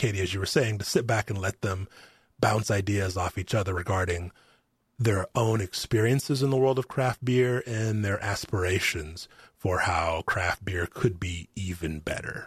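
A man with an American accent and a fairly low, somewhat breathy voice, in a dry, close sound with no echo and a quiet background. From Arkansas, US South. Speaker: psychology professor and podcast host. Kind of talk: casual interview chat. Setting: remote recording.

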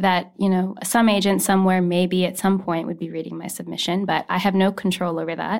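With a Canadian accent, a woman speaks fairly quickly at a medium pitch with monotone, flat intonation and hardly any pauses, on a very clean recording with a silent background. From Canada (Saskatoon, Saskatchewan). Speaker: debut novelist. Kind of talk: casual chat. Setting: studio.

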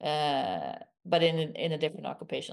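A woman speaks with a Swedish accent at a fairly low pitch. Her pace is moderate against a quiet background. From rural southern Sweden. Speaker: stem cell scientist, professor. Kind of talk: interview.

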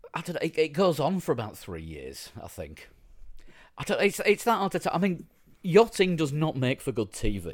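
With a Yorkshire accent, a man speaks at a moderate pace, his loudness swinging widely. The recording is very clean and the background silent. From Yorkshire, northern England. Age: 50s. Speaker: podcast host. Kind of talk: casual chat.

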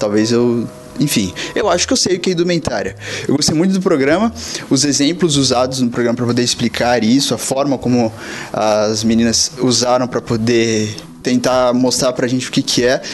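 Over music in the background, a man talks at a fairly quick pace and a medium pitch with very even loudness. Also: ordinary pitch variation. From São Paulo coast, Brazil. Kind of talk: recorded voice message.

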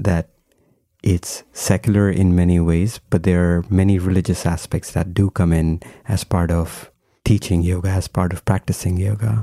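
At a fairly slow pace, a man speaks with a very deep, low pitch, a dark, mellow tone and fairly even intonation. The recording is very clean with a silent background and a dry, close sound with no echo. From India. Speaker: podcast host. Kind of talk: interview conversation.

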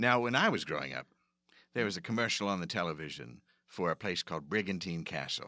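A man with an American accent speaks at a very fast pace in a very deep, low pitch, with vocal fry and a bright, sharp tone. His intonation is lively, and the recording is very clean with a silent background. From Philadelphia area. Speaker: podcast host. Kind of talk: scripted comedic intro then casual interview. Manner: animated, theatrical.

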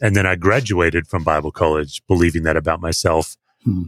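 A man speaks with an Australian accent. The recording is very clean with a silent background. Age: 50s. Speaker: pastor. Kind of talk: interview conversation.

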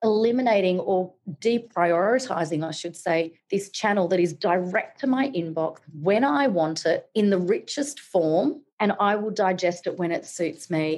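A woman speaks with an Australian accent at a moderate pace. Her pitch is medium, with ordinary pitch variation. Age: 40s. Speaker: digital marketing educator. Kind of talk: interview.

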